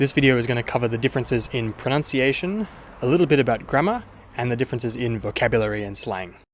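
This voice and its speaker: Speaking at a very fast pace, a man with an Australian accent uses a medium pitch and ordinary pitch variation. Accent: mild Australian. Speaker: language teacher. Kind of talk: tutorial.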